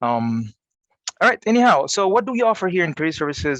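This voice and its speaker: A man speaks very fast with an Arabic accent. The sound is dry and close with no echo, over a quiet background. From Egypt. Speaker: college career services coordinator. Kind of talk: panel presentation. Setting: video call.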